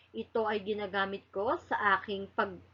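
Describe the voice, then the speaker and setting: Speaking at a fairly slow pace, a woman uses a normal speaking voice of medium pitch. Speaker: elementary school teacher. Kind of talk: recorded lesson for children. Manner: slow and clear, addressing children.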